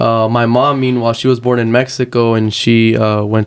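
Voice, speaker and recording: Speaking fairly quickly, this man has a medium pitch. His delivery stays monotone and flat. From Texas, moved from Uruguay at five. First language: Spanish. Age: 20s. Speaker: activist and aspiring lawyer. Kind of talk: interview.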